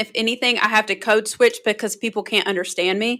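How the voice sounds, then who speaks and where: A woman with a fairly high pitch and a bright, sharp tone speaks in a strong North Carolina accent, captured in a very clean recording with a silent background. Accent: Southern US (North Carolina), strong. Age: 30s. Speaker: public relations consultant. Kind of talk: podcast interview.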